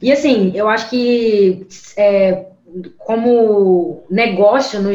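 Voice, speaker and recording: There is audible room echo as a woman talks at a medium pitch with ordinary pitch variation. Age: 20s. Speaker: company CEO. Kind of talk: interview.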